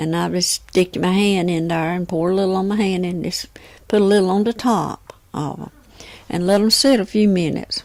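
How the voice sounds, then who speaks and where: A woman speaks in a Southern US accent at a fairly quick pace, her pitch medium. Her tone is relaxed and her intonation fairly even. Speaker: homemaker and cook. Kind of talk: oral history storytelling. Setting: home, close microphone. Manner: relaxed, conversational.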